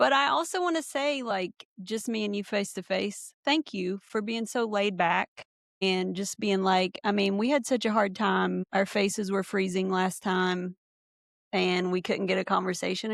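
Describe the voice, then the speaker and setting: A woman with a plain, everyday voice speaks at a medium pitch and a moderate pace with ordinary pitch variation, in a very clean recording with a silent background and a dry, close sound with no echo. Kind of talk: podcast interview, conversational.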